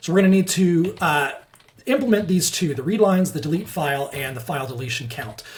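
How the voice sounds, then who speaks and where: Noticeable background noise runs under a man talking at a very fast pace. His pitch is fairly high. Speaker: software developer teaching coding. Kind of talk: coding tutorial screencast.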